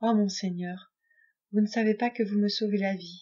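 A shaky, put-on character voice at a moderate pace, monotone with flat intonation. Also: woman, medium pitch for a woman. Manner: trembling with emotion.

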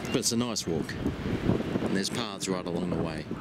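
Loud background noise surrounds a man whose dry, echo-free voice shows ordinary pitch variation. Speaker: vlogger. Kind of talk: casual vlog chat. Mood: relaxed, cheerful. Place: beach. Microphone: phone near.

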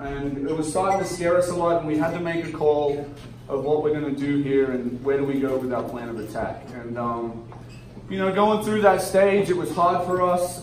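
There is light background noise and audible room echo as a man speaks. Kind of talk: emotional speech to audience. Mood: earnest, emotional. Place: bar. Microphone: camera far.

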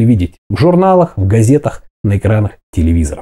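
Against a quiet background, a man speaks at a fairly quick pace in a dark, mellow tone that is somewhat breathy. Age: 40s. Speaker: fitness video blogger; fitness vlogger. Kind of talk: motivational talk to camera. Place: kitchen. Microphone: lapel.

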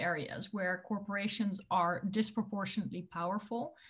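Over a quiet background, a woman talks at a moderate pace in a somewhat breathy voice with ordinary pitch variation. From Netherlands. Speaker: tech policy expert, former politician; former politician. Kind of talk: interview. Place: home room. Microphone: webcam.

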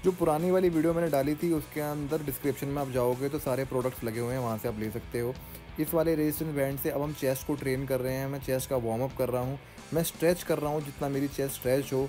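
Over clear background music, a man talks at a fairly quick pace with fairly even intonation. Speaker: fitness vlogger. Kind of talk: workout tutorial. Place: home room.

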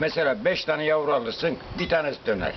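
Noticeable background noise runs under a man talking at a moderate pace, with a fairly high pitch and ordinary pitch variation. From Aydın, Turkey. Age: 80s+. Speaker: pigeon breeder. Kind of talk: interview answer. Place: home room. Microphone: phone near.

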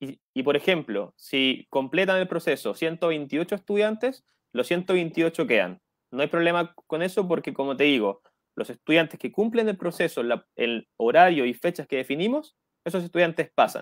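Against a quiet background, a man speaks at a moderate pace with a high pitch, lively intonation and a dry sound with no echo. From Chile. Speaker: education program coordinator. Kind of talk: radio interview. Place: home room. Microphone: earbuds.

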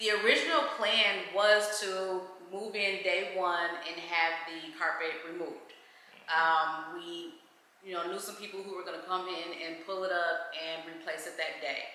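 A woman talks fairly slowly at a fairly low pitch with fairly even intonation. Audible room echo and light background noise surround her. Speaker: home vlogger. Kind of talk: casual vlog chat. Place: home room. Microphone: camera far.

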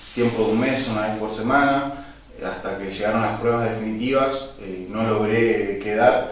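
Amid strong room echo, a man speaks at a fairly slow pace with fairly even intonation. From Buenos Aires, Argentina; Argentina. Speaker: football goalkeeper; interview guest. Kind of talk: interview. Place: studio.

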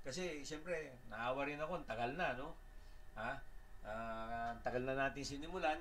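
A man with an ordinary speaking voice, fairly high in pitch, talks at a moderate pace with ordinary pitch variation over light background noise. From Philippines. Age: 60s. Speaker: electrical engineer and instructor; instructor. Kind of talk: lecture. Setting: live stream. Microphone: webcam.

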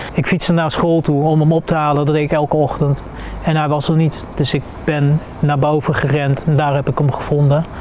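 Over light background noise, a man with fairly high pitch speaks at a fairly quick pace, his intonation monotone and flat and his loudness very even. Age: 40s. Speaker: experiential social worker, military veteran. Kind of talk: interview testimony. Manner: halting, many hesitations. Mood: calm, reflective, serious. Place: garden. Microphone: lapel.

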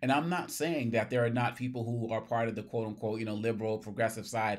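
The man's intonation stays fairly even, and the background is quiet. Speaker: political commentator. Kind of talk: commentary. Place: office.

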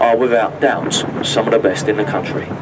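A man speaking at a fairly slow pace over noticeable background noise. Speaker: boat tour guide. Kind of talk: tour commentary. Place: boat.

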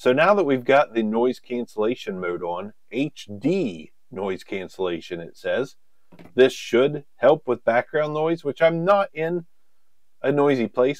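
A man's fairly slow voice with very wide pitch swings, dry with no echo, against a quiet background. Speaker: gear reviewer. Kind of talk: product review talk. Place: studio. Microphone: lapel.

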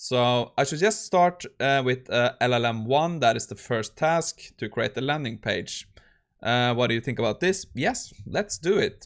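Behind the voice, the background stays quiet. The delivery is fairly slow. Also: man. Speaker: tech youtuber. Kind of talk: tutorial.

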